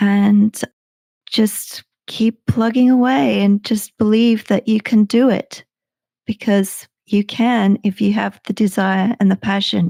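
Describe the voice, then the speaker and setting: Very slowly, a woman speaks at a medium pitch in a somewhat breathy, dark, mellow tone with fairly even intonation and very even loudness. The recording is very clean and dry, close with no echo and a silent background. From England, Suffolk. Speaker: sleep podcast creator. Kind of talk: interview. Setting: live stream. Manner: well paced.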